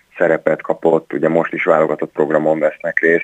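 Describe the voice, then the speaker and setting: This man's voice sits very deep and low in pitch. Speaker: ice hockey coach. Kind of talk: phone interview. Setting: phone call. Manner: halting, repeats words.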